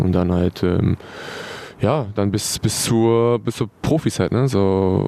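Pitched fairly low with fairly even intonation, this man talks in a normal speaking voice. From Hannover area, northern Germany. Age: 20s. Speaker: professional footballer. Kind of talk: interview.

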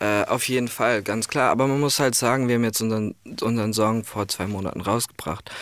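This man's voice sits at a medium pitch and moves at a fairly quick pace, with intonation that stays fairly even. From Ireland. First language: English (speaking German). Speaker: music producer and songwriter. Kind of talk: radio interview.

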